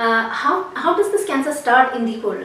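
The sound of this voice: A woman's high, fairly bright voice at a moderate pace, with lively intonation and audible room echo.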